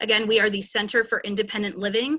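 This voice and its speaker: Her voice is fairly high in pitch. The woman talks at a fairly quick pace. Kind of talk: webinar introduction. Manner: fast.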